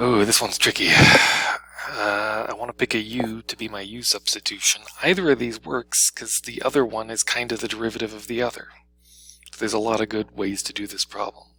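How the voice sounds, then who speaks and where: A man at medium pitch, fairly quick in pace, with fairly even intonation and noticeable background noise. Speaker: math teacher. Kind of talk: tutorial. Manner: fast; casual.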